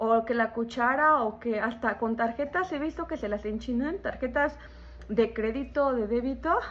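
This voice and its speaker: Pitched high, a woman talks fairly slowly with ordinary pitch variation. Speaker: beauty vlogger. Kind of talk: product review chat. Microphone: phone near.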